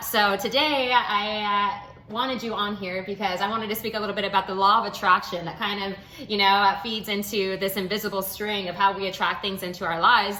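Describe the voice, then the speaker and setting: With clear room echo and a fair amount of background noise, the speaker keeps a mostly level intonation. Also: woman. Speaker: video diary host. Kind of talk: casual chat.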